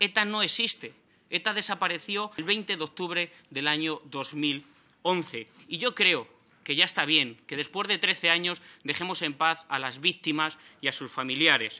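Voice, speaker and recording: This man's voice sits high, with a bright, sharp tone, ordinary pitch variation and a fairly slow pace. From Spain. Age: 30s. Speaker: member of parliament. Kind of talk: parliamentary speech. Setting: parliament chamber. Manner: formal. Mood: combative, reproachful. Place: meeting room. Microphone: podium.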